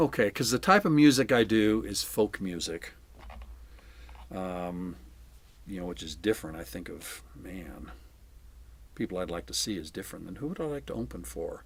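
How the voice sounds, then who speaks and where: A man's very deep, low voice with vocal fry at a moderate pace, with long, frequent pauses, big swings in loudness and very wide pitch swings. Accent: American. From Southern California. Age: 70s. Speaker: retired English teacher and folk musician. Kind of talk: interview answers. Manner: casual, halting with fillers.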